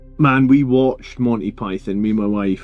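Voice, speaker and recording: Music plays in the background as a man talks at a medium pitch, his pitch varying in an ordinary way. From Scotland. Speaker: painting livestreamer. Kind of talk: livestream chat while painting. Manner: casual, halting.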